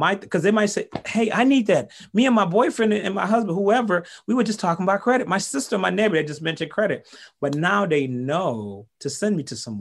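A man talks in an animated way with a high voice for a man and lively intonation. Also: fairly quick pace. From Haiti. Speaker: business coach and network marketer. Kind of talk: interview.

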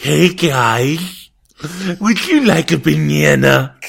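Raspy and put-on, this character voice moves at a very slow pace. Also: man. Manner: goofy, cheerful.

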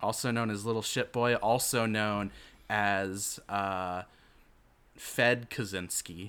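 Very slowly, a man delivers his words with fairly even intonation. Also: fairly low pitch for a man. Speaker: podcast host. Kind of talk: casual chat. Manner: halting.

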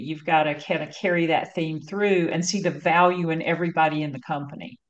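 A woman with an American accent and a fairly low pitch, fairly even intonation and a moderate pace, against noticeable background noise. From North Carolina. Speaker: marketing agency founder and CEO. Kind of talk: interview conversation.

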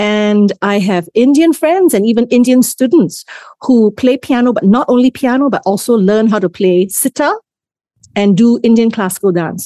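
Her voice is fairly high, with a dark, mellow tone and lively intonation, at a moderate pace. The woman's recording is dry and close, with no echo. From Singapore. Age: 50s. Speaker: composer and music educator. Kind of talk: interview conversation.

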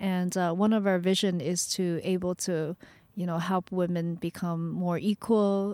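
A woman's fairly low voice, dark and mellow in tone, comes through flat and monotone on a very clean recording with a silent background and a dry, close sound with no echo. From Vancouver, Canada (born in China, moved at twelve). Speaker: startup community co-founder. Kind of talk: podcast interview. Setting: parked van.

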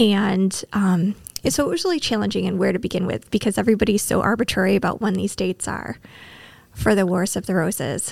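A woman with an American accent speaks at a fairly quick pace. Her medium pitch shows ordinary variation, with vocal fry. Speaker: librarian guest. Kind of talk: casual chat about books.

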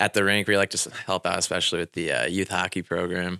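A man talks at a very fast pace in a very deep, low pitch with a bright, sharp tone. The recording is very clean, with a silent background. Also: dry, close sound with no echo. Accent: Midwestern US. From Indiana, US Midwest. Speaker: assistant hockey coach. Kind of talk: radio interview.

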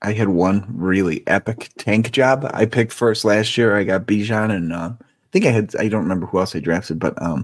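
A plain, everyday voice from a fairly low-pitched man at a moderate pace, with ordinary pitch variation and big swings in loudness. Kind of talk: casual banter, profane. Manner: laid-back, laughing, profane.

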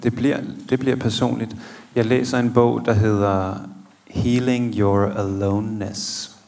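A very slow delivery with long, frequent pauses and fairly even intonation, plus noticeable background noise and audible room echo. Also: man. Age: 30s. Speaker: theologian. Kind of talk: live podcast interview. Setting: stage with audience of about 80.

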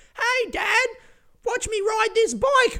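An extremely high, squeaky put-on character voice. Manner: stupid, goofy, exaggerated.

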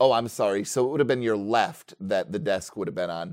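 A man at medium pitch with ordinary pitch variation, an ordinary speaking voice and a quiet background. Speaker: game master running a tabletop roleplaying game. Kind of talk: casual tabletop roleplaying game session with narration and banter.

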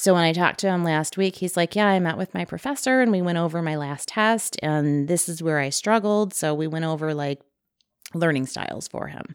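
A woman talks at a fairly quick pace in an unremarkable speaking voice. Her pitch is fairly low, with ordinary pitch variation. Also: very clean recording, silent background. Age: 40s. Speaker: former teacher. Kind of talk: casual chat.

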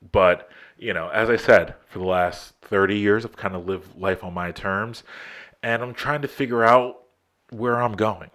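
In a normal speaking voice, the speaker keeps a moderate pace and fairly even intonation but shows big swings in loudness, on a very clean recording with a silent background. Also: man, medium pitch for a man. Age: 30s. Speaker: podcast host. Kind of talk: casual monologue. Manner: casual, filler-heavy.

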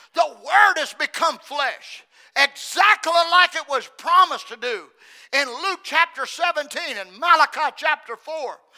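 A man speaks in a raised, projected voice at an extremely high pitch, with a bright, sharp tone. His pitch varies in an ordinary way, and the sound is dry and close with no echo. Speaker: preacher. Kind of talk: sermon. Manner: repetitive emphatic delivery.

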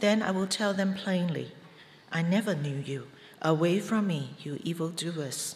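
Spoken at a fairly slow pace with ordinary pitch variation, this is a plain, everyday voice. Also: woman, fairly low pitch for a woman. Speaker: scripture reader. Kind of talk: reading aloud. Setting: church.

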